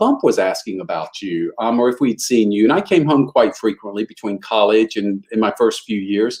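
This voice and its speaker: A man's Southern US accent with vocal fry. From Eastern North Carolina, US South. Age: 60s. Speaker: motivational speaker. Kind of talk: interview storytelling.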